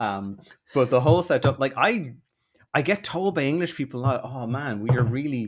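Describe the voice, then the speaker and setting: A man speaks with a South Dublin accent at a medium pitch and a fairly quick pace. His intonation is lively, on a very clean recording with a silent background. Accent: posh South Dublin Irish, easy to understand. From Ireland, South Dublin (Rathmines). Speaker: political content creator. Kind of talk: podcast interview. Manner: lots of fillers.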